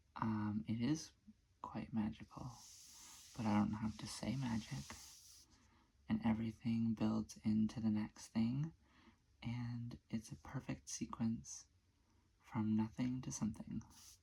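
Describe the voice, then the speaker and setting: The voice is soft-spoken at a fairly slow pace. Long, frequent pauses break up the speech. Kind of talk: ASMR soft-spoken talk to camera. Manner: soft-spoken, sleepy.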